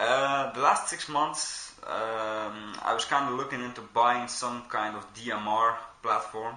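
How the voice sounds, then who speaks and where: With audible room echo and noticeable background noise, a man speaks in a Belgian accent. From Belgium. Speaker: airsoft player and reviewer. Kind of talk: product review. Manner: casual, with frequent fillers.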